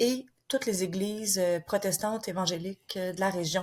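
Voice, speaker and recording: A woman speaks with a Quebec accent at medium pitch. Her intonation is fairly even and her voice somewhat breathy. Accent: Québécois French. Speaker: author and former missionary. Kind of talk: interview. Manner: hesitant, many fillers.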